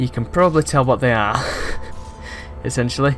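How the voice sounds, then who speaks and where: With music in the background, a man talks at a medium pitch, his pitch varying in an ordinary way. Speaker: game reviewer. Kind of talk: casual gameplay commentary.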